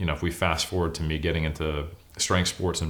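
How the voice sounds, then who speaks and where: Very deep, low male voice with an American accent, fairly quick pace, and monotone, flat intonation. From US West Coast, California (Oakland, Sacramento). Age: 40s. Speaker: bodybuilder and academic. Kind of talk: interview.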